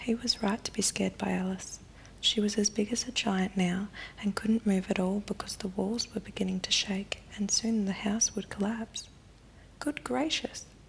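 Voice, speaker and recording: Noticeable noise sits behind speech delivered at a moderate pace. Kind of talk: ASMR bedtime story reading. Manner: softly spoken, whispering.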